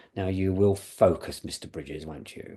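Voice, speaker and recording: Using a put-on character voice, a man speaks at a moderate pace with a very deep, low pitch. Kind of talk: refined, commanding.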